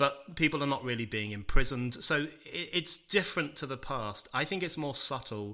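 With a British accent, a man talks at a moderate pace in a bright, sharp tone with lively intonation, on a very clean recording with a silent background. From UK. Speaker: author and political writer. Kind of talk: interview.

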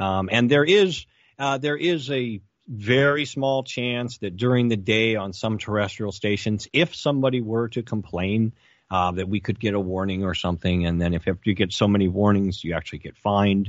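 Here a man uses a normal speaking voice, fairly low in pitch, at a moderate pace with ordinary pitch variation. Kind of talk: casual commentary.

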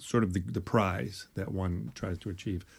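A man with a very deep, low pitch speaks at a fairly slow pace, his voice somewhat breathy. His pitch varies in an ordinary way, and the recording is very clean with a silent background. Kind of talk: casual conversation.

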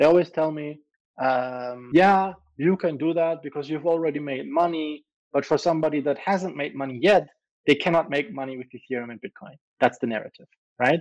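Fairly quick and with big swings in loudness, a man speaks with a German accent, a fairly high pitch and ordinary pitch variation. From Germany. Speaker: crypto entrepreneur. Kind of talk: casual interview.

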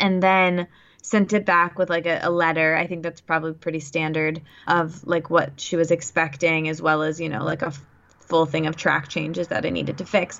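In an ordinary speaking voice, a woman talks at a moderate pace. Her pitch is fairly low, with fairly even intonation. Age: 20s. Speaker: author and podcast host. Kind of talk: casual interview.

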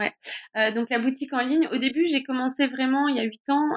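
A woman speaks at a fairly quick pace with ordinary pitch variation. The sound is dry and close, with no echo. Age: 40s. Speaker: women's health coach. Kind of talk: interview.

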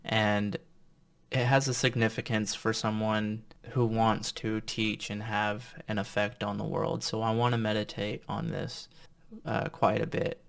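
Fairly low in pitch, a man uses a normal speaking voice at a fairly slow pace with ordinary pitch variation. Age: 30s. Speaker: vlogger. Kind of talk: monologue to camera.

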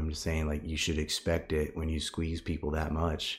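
A man speaks in a monotone with flat intonation, his very deep, low voice somewhat breathy, with an American accent, on a very clean recording with a silent background. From United States. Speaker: political researcher. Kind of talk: casual interview. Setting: in person.

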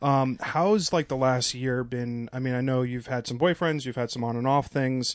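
This man has an unremarkable speaking voice, moving at a moderate pace with ordinary pitch variation. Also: medium pitch for a man. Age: 30s. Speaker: podcast host. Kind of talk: casual chat.

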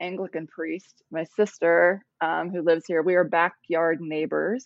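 A woman with an American accent and a fairly low pitch uses fairly even intonation in a normal speaking voice. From US Midwest, Ohio. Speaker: author and poet. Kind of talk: interview conversation.

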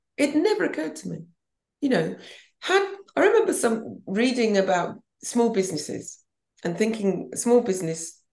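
A woman with a southern English accent at a fairly quick pace. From Banbury, Oxfordshire, England. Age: 60s. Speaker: fashion designer and podcast host. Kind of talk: casual chat.

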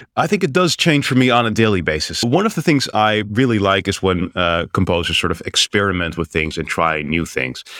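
Speaking with an American accent, a man has an unremarkable speaking voice at a fairly low pitch. He talks at a fairly quick pace with lively intonation and hardly any pauses. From Netherlands, partly raised in the US. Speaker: journalist and news music collector. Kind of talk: interview.

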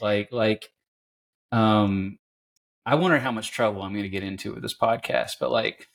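The delivery has an ordinary speaking voice at a moderate pace. The sound is dry and close, with no echo. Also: man. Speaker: podcast host. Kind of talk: casual interview conversation. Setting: remote call.

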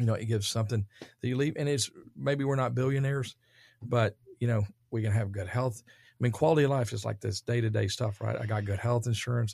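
With a Texan accent, a man talks at a fairly quick pace in a medium pitch, somewhat breathy and fairly even in intonation, on a very clean recording with a silent background. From Dallas, Texas. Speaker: real estate developer. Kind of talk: casual interview. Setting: studio.

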